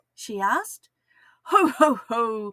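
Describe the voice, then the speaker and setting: Dry and close with no echo, the voice carries an Australian accent and a bright, sharp tone. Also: woman. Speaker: kindergarten teacher. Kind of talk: children's story read-aloud.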